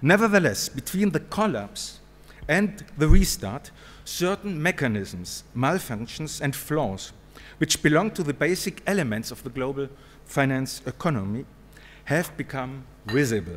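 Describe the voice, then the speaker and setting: A man speaks with a fairly high pitch and vocal fry. His pitch swings very widely, and his pace is fairly slow. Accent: German. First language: German. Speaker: professor. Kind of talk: conference talk. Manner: formal.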